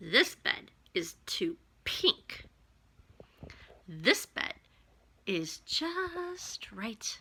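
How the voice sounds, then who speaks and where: Whispering in a put-on character voice, a woman moves at a very slow pace with long, frequent pauses. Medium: read story.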